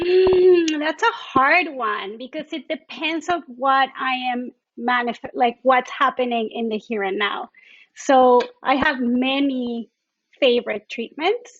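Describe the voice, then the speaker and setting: With a Mexican accent, the speaker talks at a very slow pace with ordinary pitch variation. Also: woman, high pitch for a woman. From Mexico. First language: Spanish. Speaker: doula and traditional Chinese medicine therapist. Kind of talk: podcast interview.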